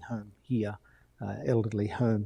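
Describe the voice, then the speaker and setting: The background is quiet as a man speaks with an Australian accent. His tone is dark and mellow. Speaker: missions charity director. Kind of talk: interview.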